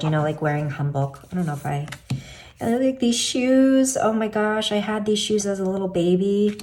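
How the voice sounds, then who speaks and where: A woman talks with an American accent. The recording has audible room echo and noticeable background noise. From US, Korean heritage. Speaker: tarot youtuber. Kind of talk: casual video talk, deck walkthrough. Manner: hesitant, many fillers.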